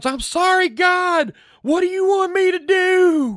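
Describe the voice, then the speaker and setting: A put-on character voice shouts at an extremely high pitch, moving at a fairly slow pace. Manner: yelling, pleading.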